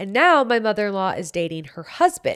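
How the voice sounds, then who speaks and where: A woman's medium-pitched voice with a Utah accent, very wide pitch swings, and a very clean recording over a silent background. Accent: Utah American. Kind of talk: casual, stand-up comedy.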